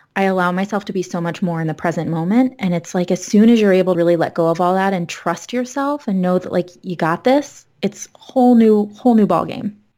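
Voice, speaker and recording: With an American accent and a dark, mellow tone, a woman speaks at a medium pitch and a fairly quick pace, with ordinary pitch variation and hardly any pauses. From South Florida, then Massachusetts from age fourteen. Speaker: licensed mental health counselor and yoga teacher. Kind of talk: casual chat.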